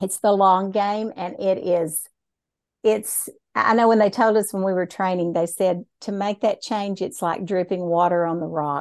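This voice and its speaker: Against a quiet background, a woman with a Texan accent speaks at a moderate pace with fairly even intonation. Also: medium pitch for a woman. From Texas. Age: 60s. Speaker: dyslexia therapist. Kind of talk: casual interview chat.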